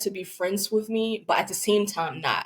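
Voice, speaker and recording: This woman has a medium pitch and speaks with a Liberian accent. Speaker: podcast guest. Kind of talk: personal testimony.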